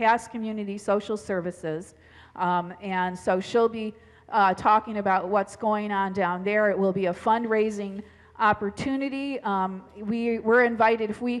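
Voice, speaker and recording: A woman at a moderate pace with fairly even intonation. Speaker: pastor. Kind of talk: church announcements. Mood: friendly, informal. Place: church. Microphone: headset.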